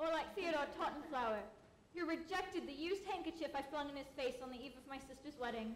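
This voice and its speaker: Over clear background noise, a woman rattles off lines at a very fast pace in a breathy, high-pitched, put-on character voice with big swings in loudness. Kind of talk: comic overacting, prim period speech. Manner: breathy, gushing, lovelorn.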